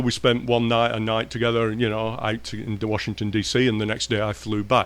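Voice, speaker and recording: Words come very fast from a man. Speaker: professor.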